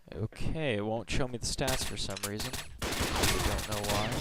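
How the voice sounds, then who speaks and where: Noticeable background noise sits behind a man's voice. He talks at a fairly slow pace with a fairly low pitch. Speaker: video game reviewer. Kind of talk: gameplay commentary. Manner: quiet.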